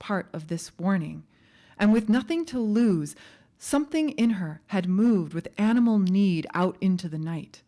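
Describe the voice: A plain read-aloud passage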